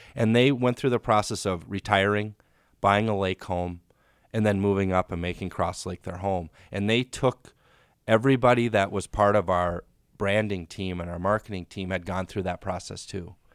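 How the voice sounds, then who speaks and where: A man with a normal speaking voice talks at a moderate pace with fairly even intonation and a fairly low pitch. The sound is dry and close, with no echo. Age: 30s. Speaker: real estate agent. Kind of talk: casual chat.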